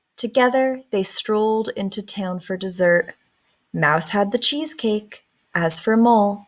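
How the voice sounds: Ordinary pitch variation in a natural reading voice, the background quiet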